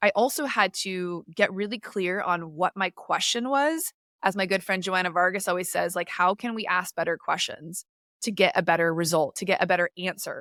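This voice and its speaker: This voice has a bright, sharp, energetic tone and a dry, close sound with no echo. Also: woman, medium pitch for a woman, ordinary pitch variation. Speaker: podcast host and life coach. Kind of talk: casual solo podcast talk. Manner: fast.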